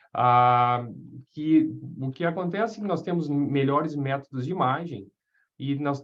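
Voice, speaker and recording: This man talks at a fairly slow pace in a fairly high pitch. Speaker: radiation oncologist lecturer. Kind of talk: lecture. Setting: webinar video call. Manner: halting, many fillers; informal.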